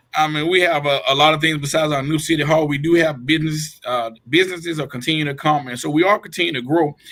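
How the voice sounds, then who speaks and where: A man's fairly high, bright, sharp voice with a Georgia accent, very fast in pace and fairly even in intonation. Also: hardly any pauses. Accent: US South, Georgia. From Georgia, Waynesboro. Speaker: mayor. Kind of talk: interview.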